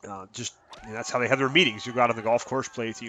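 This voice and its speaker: This man has a medium pitch. There is noticeable background noise. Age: 30s. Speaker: gaming YouTuber. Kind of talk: casual video commentary. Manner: halting, many fillers.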